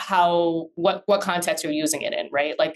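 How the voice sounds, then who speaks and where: A woman speaks with an American accent at a fairly low pitch. Her intonation is monotone and flat. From Minnesota, US. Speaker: business attorney. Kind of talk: interview conversation.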